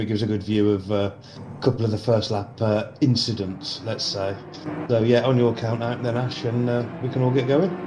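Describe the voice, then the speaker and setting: A man with a Birmingham accent at a medium pitch, fairly quick and fairly even in intonation, amid noticeable background noise and audible room echo. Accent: Brummie. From Birmingham, England. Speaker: sim racing sponsor and commentator. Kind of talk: casual chat.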